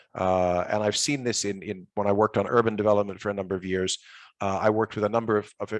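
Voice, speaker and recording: Over a quiet background, a man talks very fast at a fairly low pitch in monotone, flat intonation. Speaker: policy expert panelist. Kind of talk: panel presentation.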